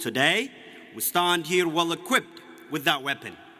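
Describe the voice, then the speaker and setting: Music plays in the background as a man with an Ethiopian accent talks at a moderate pace in a high pitch. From Ethiopia (Oromia). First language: Oromo. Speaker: graduating student speaker. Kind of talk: commencement speech. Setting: graduation ceremony with audience.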